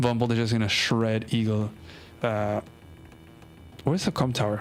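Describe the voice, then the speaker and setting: Music plays behind a man with a non-native accent who speaks at medium pitch in a relaxed tone, with fairly even intonation and very even loudness. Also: moderate pace. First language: not English. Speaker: strategy game streamer. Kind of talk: live game commentary and match review. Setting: live stream. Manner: casual, relaxed.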